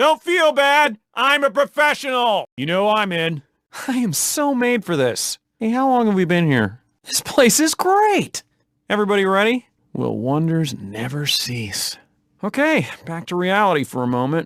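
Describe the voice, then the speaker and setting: Using a put-on character voice, a man speaks at a high pitch and a moderate pace with very wide pitch swings. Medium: machinima. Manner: energetic, cocky.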